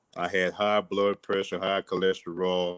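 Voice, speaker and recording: This is a man's voice. He has a strong south Louisiana accent. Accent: strong south Louisiana accent, unchanged. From Louisiana, Cecilia near Lafayette. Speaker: fitness and mindset guest. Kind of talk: casual interview on a livestream. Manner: animated.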